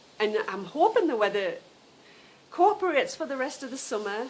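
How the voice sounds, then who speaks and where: Noticeable background noise sits behind a woman's voice. She talks at a moderate pace with lively intonation. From northern England. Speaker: knitting podcaster. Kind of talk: casual chat. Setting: outdoors. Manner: chatty, informal.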